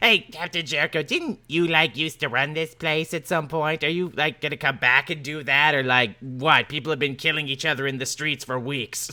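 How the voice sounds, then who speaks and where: Putting on a character voice, a man talks at a moderate pace in a fairly high pitch with hardly any pauses. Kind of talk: laid-back slacker talk. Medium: actual play. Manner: casual, rambling, filler-heavy.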